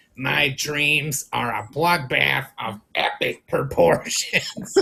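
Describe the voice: In a put-on character voice, a man speaks at a very slow pace, raspy and nasal, with a fairly high pitch.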